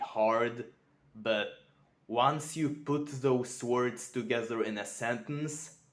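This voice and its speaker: A man's very slow speech with a non-native accent, medium in pitch with ordinary pitch variation. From Europe. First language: not English. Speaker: self-improvement vlogger. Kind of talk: unscripted vlog monologue. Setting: talking to camera. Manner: careful, sometimes mispronouncing.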